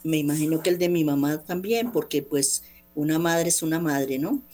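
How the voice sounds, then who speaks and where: In a flat monotone, a woman speaks with a very deep, low pitch and a dark, mellow tone. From Colombia, Bogotá. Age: 60s. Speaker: guest sharing personal faith testimony. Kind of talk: personal testimony on radio.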